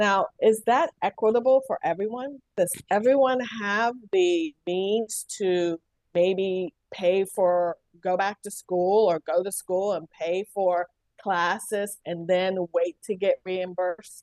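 In an American accent, a woman speaks at a very slow pace and a medium pitch. Her pitch variation is ordinary, and the sound is dry and close with no echo. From West Virginia, US. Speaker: healthcare diversity and inclusion executive. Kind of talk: interview. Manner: hesitant, many fillers.

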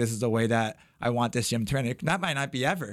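Recorded very cleanly against a silent background, a man has an unremarkable speaking voice at a medium pitch, with ordinary pitch variation and a fairly quick pace. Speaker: martial arts gym owner. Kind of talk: casual chat.

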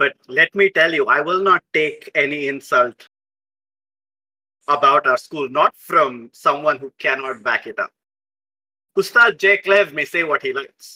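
In a put-on character voice, a man speaks fairly slowly at a fairly high pitch with ordinary pitch variation, his tone bright and sharp, the sound dry and close with no echo.

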